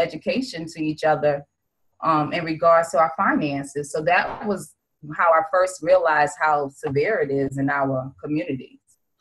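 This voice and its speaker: With an American accent, a woman speaks at a moderate pace in a fairly low pitch with ordinary pitch variation. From Brownsville, Brooklyn, New York. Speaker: insurance agent. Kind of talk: podcast interview.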